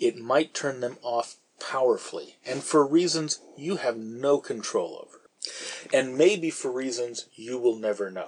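A plain, everyday voice with an American accent speaks at a fairly slow pace, showing ordinary pitch variation and big swings in loudness. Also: man, medium pitch for a man. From San Francisco Bay Area, US. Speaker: podcast host, novelist. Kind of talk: casual chat.

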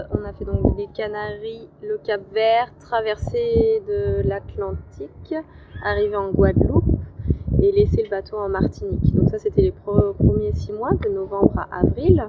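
Over noticeable background noise, a woman speaks at a very slow pace. Her loudness swings widely. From France, Lyon. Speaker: sailor and boat cook. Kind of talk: interview. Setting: outdoors.

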